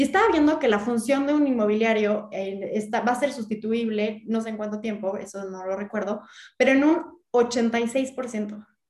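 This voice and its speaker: A woman's fairly high, somewhat breathy voice, moderately paced, with ordinary pitch variation. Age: 30s. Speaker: real estate entrepreneur and content creator. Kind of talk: interview.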